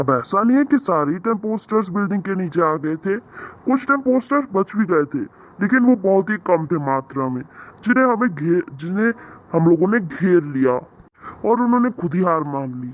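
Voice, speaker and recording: A man puts on a cartoonish character voice. His pitch sits high. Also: moderate pace. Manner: cheerful, polite.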